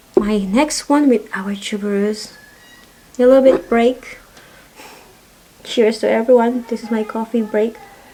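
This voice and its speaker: Against noticeable background noise, a woman with a fairly high voice speaks at a fairly slow pace with long, frequent pauses. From Philippines. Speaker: perfume reviewer. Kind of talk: casual product review vlog. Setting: home. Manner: halting.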